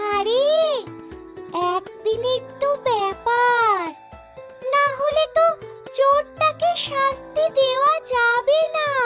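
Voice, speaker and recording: A cartoonish character voice at a very slow pace, clear music in the background. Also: female-sounding voice, extremely high pitch for a woman. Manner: reassuring, knowing.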